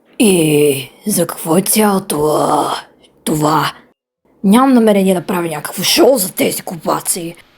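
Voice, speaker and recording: A woman speaks in a put-on character voice. Her pitch sits in the medium range. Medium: dub. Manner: gruff, irritated.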